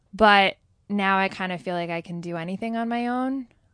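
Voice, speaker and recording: A woman's plain, everyday voice at a moderate pace, with ordinary pitch variation and a quiet background. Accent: American. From New Jersey. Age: 30s. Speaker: elementary school teacher and yoga teacher. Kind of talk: casual chat.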